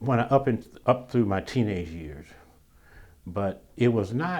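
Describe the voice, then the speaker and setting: Someone with an Alabama accent speaks at a fairly slow pace. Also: man, medium pitch for a man. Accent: Southern US, Alabama. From US South, Birmingham, Alabama. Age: 70s. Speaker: retired newspaper copy editor. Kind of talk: oral history interview. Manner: halting, many restarts and fillers.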